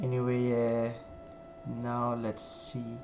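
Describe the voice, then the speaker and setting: Music plays in the background as a man speaks with a Danish accent. He talks at a very slow pace, and room echo is audible. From Denmark. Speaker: flight sim streamer. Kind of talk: live stream gameplay commentary. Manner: halting.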